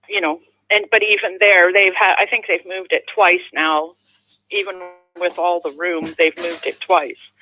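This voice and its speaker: With music in the background, a woman with a Canadian accent talks at a moderate pace and medium pitch, her intonation fairly even. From Canada, immigrated from Netherlands as child. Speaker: caller. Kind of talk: casual chat. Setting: phone call.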